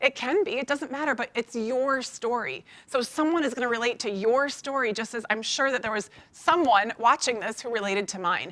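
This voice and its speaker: Delivered at a fairly quick pace, the voice has a bright, sharp tone. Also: woman, high pitch for a woman, ordinary pitch variation. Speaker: network marketing distributor. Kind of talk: conference speech. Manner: fast.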